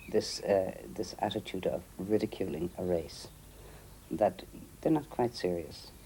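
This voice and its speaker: With an Irish accent, a man speaks fairly slowly in a very deep, low voice that is dark, mellow and somewhat breathy. Long, frequent pauses break up his speech. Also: lively intonation. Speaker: interviewee. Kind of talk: documentary interview.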